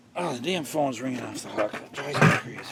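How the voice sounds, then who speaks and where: Mumbling at a fairly quick pace, a man talks with ordinary pitch variation amid noticeable background noise. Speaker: DIY car repair presenter. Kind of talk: tutorial. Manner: casual, thinking aloud.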